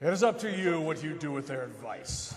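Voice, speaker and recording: Using a put-on character voice, a man with a fairly high pitch talks at a fairly quick pace with a clear echo. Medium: stage play. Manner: grave, archaic, portentous.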